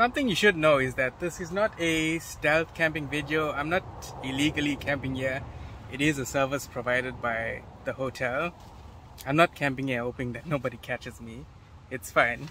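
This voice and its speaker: A man talks at a moderate pace with ordinary pitch variation. The sound is dry with no echo, and there is light background noise. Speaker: camping vlogger. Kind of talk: casual vlog chat. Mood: relaxed, cheerful. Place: tent. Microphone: phone near.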